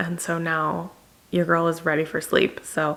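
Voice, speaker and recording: Against noticeable background noise, a woman speaks quietly in a fairly low voice. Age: 20s. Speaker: lifestyle vlogger. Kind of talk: casual vlog talk to camera. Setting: rented house at night, indoors. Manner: quiet, low volume to avoid waking others; low-energy, subdued.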